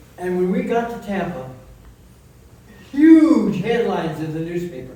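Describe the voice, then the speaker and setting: Noticeable background noise sits behind a man speaking at a very slow pace. His pitch swings very widely. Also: long, frequent pauses, big swings in loudness. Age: 80s+. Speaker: war veteran. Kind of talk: memorial speech. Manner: halting.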